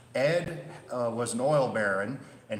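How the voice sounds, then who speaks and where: Amid noticeable background noise and audible room echo, a man with a Midwestern accent speaks at a medium pitch with ordinary pitch variation. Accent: Midwest. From Chicago, US Midwest. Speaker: railway museum volunteer and streetcar conductor giving a history talk. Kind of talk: presentation with audience Q&A. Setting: presentation room with live audience. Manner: casual, conversational with filler words.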